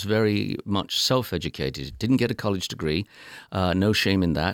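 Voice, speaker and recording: A man with an English accent at a moderate pace. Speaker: public radio talk show host. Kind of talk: interview. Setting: studio. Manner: formal.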